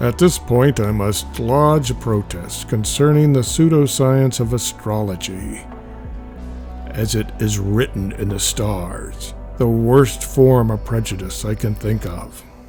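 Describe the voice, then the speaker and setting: A man talks at a fairly slow pace. Music can be heard behind him. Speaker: comics reader / narrator. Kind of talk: reading a comic aloud, casual humorous narration.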